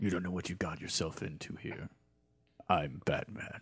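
A man puts on a character voice with a very deep, low pitch. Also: moderate pace. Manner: serious, growling.

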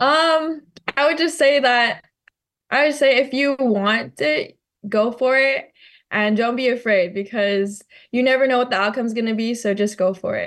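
With a Hawaiian accent, a woman speaks at a high pitch and a moderate pace, using ordinary pitch variation against a quiet background. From Hawaii, Maui. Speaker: college track athlete. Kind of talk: interview.

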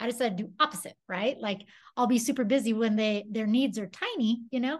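A woman's somewhat breathy, fairly high voice at a moderate pace, with ordinary pitch variation over a quiet background. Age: 40s. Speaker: musician and prison chaplain. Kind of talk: casual chat.

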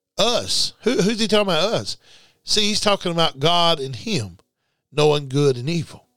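In a very clean recording with a silent background, a man speaks at a moderate pace with a high pitch, lively intonation, and a bright, sharp, animated tone. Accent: Southern US. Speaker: preacher. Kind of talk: sermon. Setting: radio studio. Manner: animated, preacherly; emphatic, repetitive.

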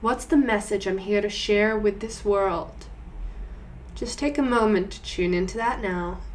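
Delivered at a fairly slow pace, a normal speaking voice shows ordinary pitch variation. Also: woman, medium pitch for a woman. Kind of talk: guided meditation. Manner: slow, soothing and gentle, with calm pauses, coaxing the listener inward.

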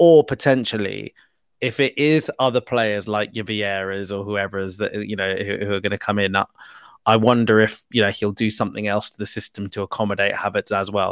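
Speech comes at a fairly quick pace in a British accent, with big swings in loudness. The background is quiet. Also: man. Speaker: football podcast host. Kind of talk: casual chat.

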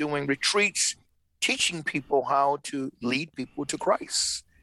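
Recorded dry and close with no echo, the speaker talks fairly slowly in an American accent, with a bright, sharp tone and fairly even intonation. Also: man, quiet background. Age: 70s. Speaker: ministry leader and former pastor. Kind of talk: podcast interview.

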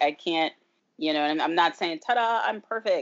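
A woman's plain, everyday voice, fairly low in pitch, with lively intonation. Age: 40s. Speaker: visual artist and former dancer. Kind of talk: interview. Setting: video call.

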